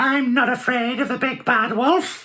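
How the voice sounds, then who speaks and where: A put-on character voice, female-sounding and high-pitched. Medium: read story.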